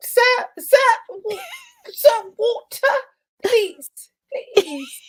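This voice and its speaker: Putting on a character voice in a British accent, a woman speaks at an extremely high pitch, very slowly, with long, frequent pauses. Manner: pleading, polite.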